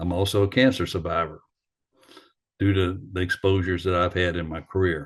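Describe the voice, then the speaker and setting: Speech comes at a fairly quick pace, with fairly even intonation and long, frequent pauses. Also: man, very deep, low pitch for a man. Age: 60s. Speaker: retired firefighter. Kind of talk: lecture. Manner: halting.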